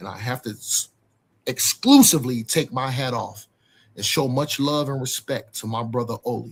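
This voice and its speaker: Somewhat breathy and medium in pitch, a man talks at a moderate pace. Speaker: debater on a livestream. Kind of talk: heated debate. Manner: animated.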